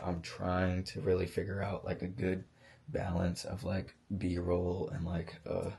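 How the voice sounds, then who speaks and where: Speaking at a fairly slow pace, a man with a very deep, low pitch and a dark, mellow tone sounds somewhat breathy, his intonation fairly even. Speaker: vlogger. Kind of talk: casual vlog monologue. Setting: vacation house at night. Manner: hesitant, many fillers.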